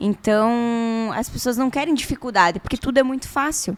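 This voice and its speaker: A woman talks at a moderate pace. Her pitch is high, with ordinary pitch variation. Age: 30s. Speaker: podcast co-host. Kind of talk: casual chat.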